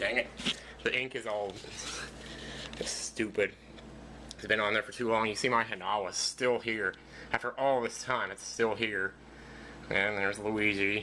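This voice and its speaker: At a moderate pace, a man talks in a flat monotone at a fairly low pitch, leaving long, frequent pauses. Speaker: video blogger / let's player. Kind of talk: casual vlog monologue. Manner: quiet, not loud.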